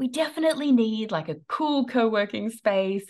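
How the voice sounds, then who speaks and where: Against a quiet background, a woman with an Australian accent talks at a moderate pace in a fairly high pitch, with very wide pitch swings. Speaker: online business coach. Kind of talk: interview.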